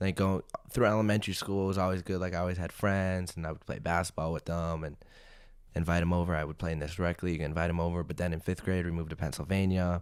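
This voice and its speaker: A man speaks at a very fast pace in a very deep, low pitch with monotone, flat intonation. The recording is very clean, with a silent background. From Arizona, US. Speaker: gaming YouTuber. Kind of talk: podcast interview. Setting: studio. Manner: casual, many fillers.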